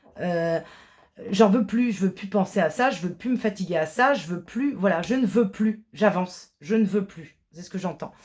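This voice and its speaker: Her loudness swinging widely, a woman speaks at a medium pitch and a fairly slow pace with ordinary pitch variation. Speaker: tarot card reader. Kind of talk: tarot reading. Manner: halting, many hesitations.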